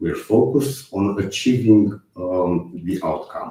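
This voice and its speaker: A man with a Romanian accent speaks in a dark, mellow, somewhat breathy voice at a fairly low pitch with lively intonation. There is audible room echo. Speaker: software testing speaker. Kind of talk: conference talk. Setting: online conference stream. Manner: hesitant with fillers.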